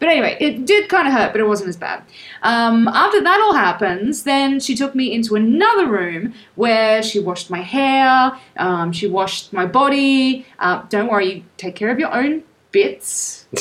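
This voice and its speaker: Very wide pitch swings from a woman speaking at a moderate pace. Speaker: travel podcast co-host. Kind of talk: casual chat. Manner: lively, laughing.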